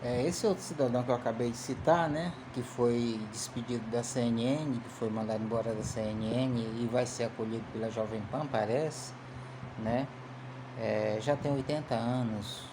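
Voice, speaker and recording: Audible room echo and noticeable background noise surround a man's speech. He talks at a moderate pace and medium pitch with fairly even intonation. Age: 50s. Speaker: political commentator. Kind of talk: casual political commentary monologue. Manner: halting, many repeated fillers.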